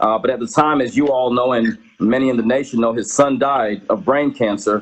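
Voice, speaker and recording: This man has an ordinary speaking voice, a medium pitch and an American accent. He talks at a fairly quick pace with fairly even intonation. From Georgia, US. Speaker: political candidate and advocate. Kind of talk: interview. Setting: live stream.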